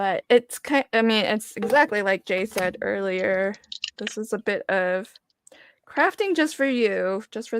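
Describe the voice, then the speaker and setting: A woman with an American accent speaks fairly slowly in a fairly high voice with ordinary pitch variation. The sound is dry and close, with no echo. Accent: occasional slight Southern twang. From US South, Virginia. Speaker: craft livestream host. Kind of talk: casual chat. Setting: livestream video call with guests.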